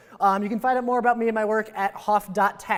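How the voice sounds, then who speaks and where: A man's high voice shows ordinary pitch variation. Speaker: software developer giving a tech meetup talk. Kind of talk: lecture. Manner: fast.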